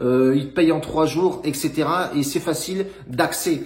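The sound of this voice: A man speaks with a fairly high pitch. His tone is slightly mellow. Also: ordinary pitch variation, moderate pace.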